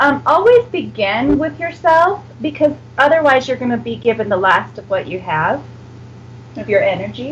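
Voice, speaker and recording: Against noticeable background noise, a woman talks at a moderate pace, her loudness swinging widely. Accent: American. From United States. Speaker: psychic reader. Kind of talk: psychic reading on radio. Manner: hesitant, many fillers.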